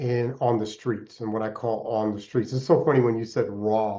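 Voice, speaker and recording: A man talks with an American accent at a medium pitch. His is a normal speaking voice with fairly even intonation. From Alaska (Anchorage), earlier upstate New York. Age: 60s. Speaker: entrepreneur and mentor. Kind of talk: podcast interview.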